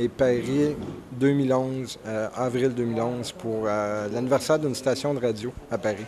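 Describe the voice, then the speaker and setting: Noticeable background noise sits behind a man who speaks at medium pitch and a moderate pace with fairly even intonation. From Quebec. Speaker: stand-up comedian. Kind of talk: interview. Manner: hesitant, many fillers.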